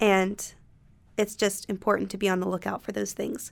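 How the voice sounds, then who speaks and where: The woman has an American accent and a medium pitch. Her intonation is monotone and flat, at a moderate pace. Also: very clean recording, silent background. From North Carolina (Concord, near Charlotte). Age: 20s. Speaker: college student. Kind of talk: casual chat.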